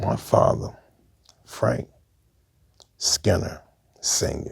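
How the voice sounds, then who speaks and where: A man with an American accent speaks at a very slow pace with vocal fry. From Brooklyn, New York. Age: 60s. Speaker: former gang member. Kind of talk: interview storytelling.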